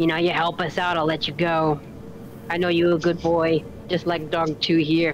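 This put-on character voice moves at a moderate pace and sits at a middle pitch, with clear background noise behind it. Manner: kind, soothing.

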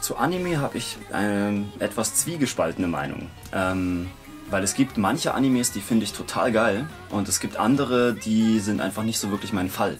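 A man talks at a moderate pace in a fairly low pitch. Music plays clearly in the background. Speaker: voice actor. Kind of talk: interview answer. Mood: relaxed, casual. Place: booth.

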